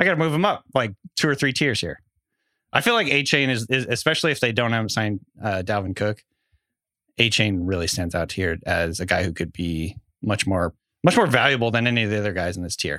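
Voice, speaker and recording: In a Pacific Northwest accent, a man talks at a fairly quick pace with a bright, sharp tone, fairly low pitch and lively intonation, recorded very cleanly against a silent background. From Washington State (Bellingham). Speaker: fantasy football podcast co-host. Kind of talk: casual chat.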